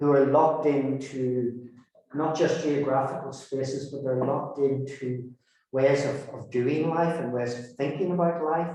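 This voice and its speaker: A man with a Northern Irish accent talks at a fairly slow pace in a fairly high, monotone, flat voice. His loudness swings widely, and the room echo is audible. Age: 60s. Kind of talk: talk to a community group. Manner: halting, frequent repetitions.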